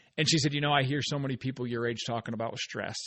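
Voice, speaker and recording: A man talking at a very fast pace. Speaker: podcast host, author and speaker. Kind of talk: casual podcast monologue. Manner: upbeat, energetic.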